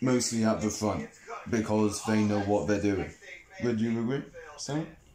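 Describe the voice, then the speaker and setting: A man with a fairly low pitch speaks at a moderate pace with ordinary pitch variation and very even loudness, amid noticeable background noise and audible room echo. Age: young. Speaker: podcast host. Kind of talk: casual chat.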